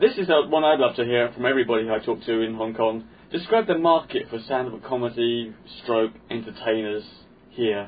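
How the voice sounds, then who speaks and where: With a London accent, a man speaks at a moderate pace in a medium pitch, with ordinary pitch variation. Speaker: podcast host and comedian. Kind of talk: casual chat.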